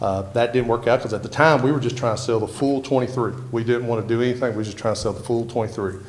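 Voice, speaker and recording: A man at medium pitch, very fast with hardly any pauses, fairly even in intonation, amid noticeable background noise and audible room echo. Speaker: property owner applying for rezoning. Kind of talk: public hearing testimony. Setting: council meeting room with microphone.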